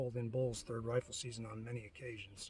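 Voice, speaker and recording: Somewhat breathy speech at a fairly quick pace. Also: man. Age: 60s. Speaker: hunting guide. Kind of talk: casual product review and personal story. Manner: relaxed, with many fillers.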